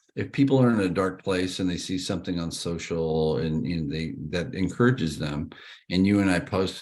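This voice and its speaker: At a moderate pace and with ordinary pitch variation, a man talks in a very deep, low pitch. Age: 60s. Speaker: realtor and sobriety advocate. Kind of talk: casual chat.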